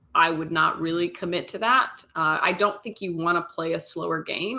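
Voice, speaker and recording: A woman's fairly low voice with an American accent, bright and sharp in tone, at a moderate pace, in a very clean recording with a silent background. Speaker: esports caster. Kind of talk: live commentary. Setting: livestream.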